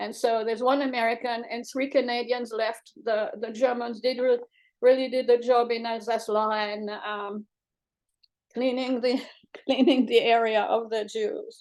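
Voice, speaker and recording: The speech is monotone and flat, set against a quiet background. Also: woman, fairly high pitch for a woman, moderate pace. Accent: French. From Morocco. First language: French. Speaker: cookbook author. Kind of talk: book pitch presentation.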